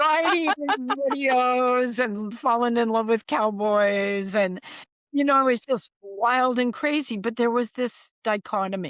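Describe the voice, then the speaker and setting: A woman speaks with an American accent and a high pitch. Her loudness stays very even. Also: ordinary pitch variation, fairly slow pace. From US, Idaho. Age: 70s. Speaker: author and spiritual writer. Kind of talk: podcast interview, personal storytelling.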